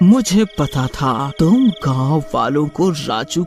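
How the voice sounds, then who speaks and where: A cartoonish character voice at a middle pitch speaks very slowly. Clear music plays in the background. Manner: menacing, gloating.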